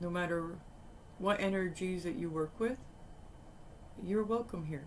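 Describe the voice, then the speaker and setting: Soft-spoken and at a fairly slow pace, a woman talks with a fairly low pitch and ordinary pitch variation. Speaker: tarot reader. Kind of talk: tarot reading.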